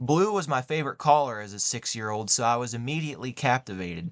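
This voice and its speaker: A man with an American accent, a normal speaking voice, medium pitch, lively intonation and a moderate pace. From West Virginia, US (small town). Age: 20s. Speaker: motocross podcast host. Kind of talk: scripted podcast monologue.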